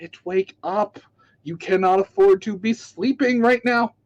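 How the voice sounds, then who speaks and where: A man uses a soft-spoken, squeaky, high-pitched put-on character voice at a fairly slow pace. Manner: nagging, urgent.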